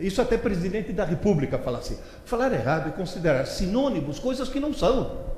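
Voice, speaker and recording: At a moderate pace, a man's pitch swings very widely, with audible room echo and noticeable noise around him. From Italy. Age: 70s. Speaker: educator and lecturer. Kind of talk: lecture. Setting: stage with audience. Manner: animated.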